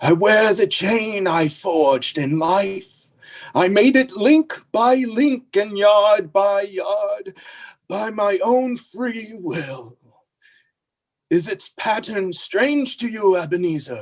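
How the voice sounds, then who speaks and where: A man puts on a character voice, high in pitch and at a very slow pace. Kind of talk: stage radio play acting. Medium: stage play. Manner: solemn, grave.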